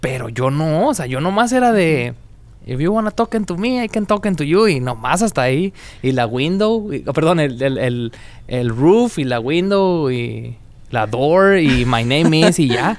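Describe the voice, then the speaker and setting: A man talks at a fairly slow pace, his fairly high pitch moving in very wide swings. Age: young. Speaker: podcast co-host. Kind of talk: casual chat.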